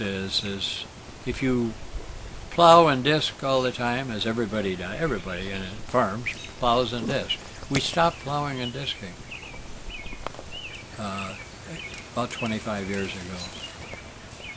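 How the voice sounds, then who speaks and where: A man with an American accent, a medium pitch, ordinary pitch variation and a moderate pace, long, frequent pauses, noticeable background noise. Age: 80s+. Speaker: farmer. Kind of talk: interview answer.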